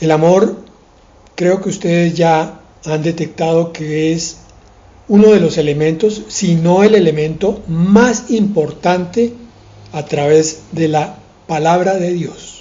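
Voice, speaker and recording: A man speaks at a very slow pace with a high pitch and ordinary pitch variation. Room echo is audible. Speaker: pastor. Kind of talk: sermon.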